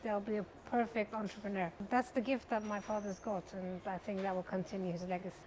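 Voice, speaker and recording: A woman speaks with a Persian accent. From Iran, Tehran, then London. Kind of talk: interview.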